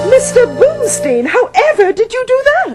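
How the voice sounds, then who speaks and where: Over loud music in the background, a put-on character voice, squeaky and extremely high in pitch, moves at a moderate pace. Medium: stage play. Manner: formal, genteel.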